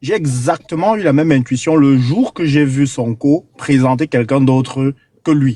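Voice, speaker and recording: With a Cameroonian accent, a man at a fairly high pitch talks at a fairly slow pace in a dark, mellow tone, with ordinary pitch variation, very even loudness and a dry, close sound with no echo. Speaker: caller on a live panel. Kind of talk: political commentary on a call-in panel. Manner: hesitant, many fillers and repetitions.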